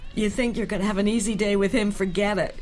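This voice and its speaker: A woman's fairly high-pitched voice with an enthusiastic tone. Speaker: voice actor. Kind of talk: commentary track. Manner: lively, enthusiastic.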